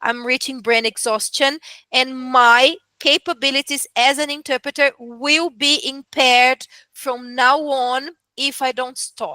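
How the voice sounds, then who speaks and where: A woman with a Portuguese accent uses a raised, projected voice, high in pitch and bright and sharp in tone, at a fairly slow pace with fairly even intonation. The recording is very clean with a silent background, and the sound is dry and close with no echo. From Brazil. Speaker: medical interpreter. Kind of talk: casual chat.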